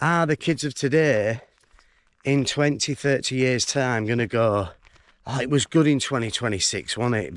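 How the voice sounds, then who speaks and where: Speaking with a Yorkshire accent, a man uses a medium pitch and ordinary pitch variation at a moderate pace, captured in a very clean recording with a silent background. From northern England, York. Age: 40s. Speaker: vlogger. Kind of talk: casual vlog monologue while walking. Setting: outdoors, walking in fields.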